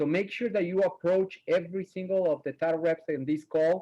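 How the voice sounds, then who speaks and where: A man's dark, mellow tone with a non-native accent, fairly quick pace and ordinary pitch variation. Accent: foreign. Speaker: title company rep and trainer. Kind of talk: webinar presentation. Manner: animated.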